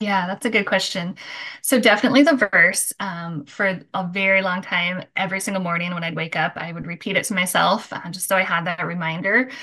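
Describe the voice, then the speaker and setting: This is an unremarkable speaking voice with an American accent, ordinary pitch variation and a fairly quick pace. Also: woman, medium pitch for a woman. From Michigan. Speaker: recovery coach. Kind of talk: casual interview.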